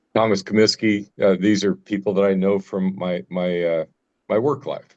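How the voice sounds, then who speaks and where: A man with a Midwestern American accent speaks at a moderate pace, his fairly low voice keeping a fairly even intonation. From US Midwest, Nebraska. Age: 70s. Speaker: cancer survivor guest speaker. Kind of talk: testimony.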